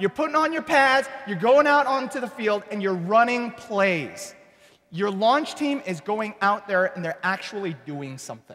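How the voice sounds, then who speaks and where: Here a man speaks with a high pitch and an animated tone. His intonation is lively. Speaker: church planting pastor. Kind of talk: workshop presentation. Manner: fast.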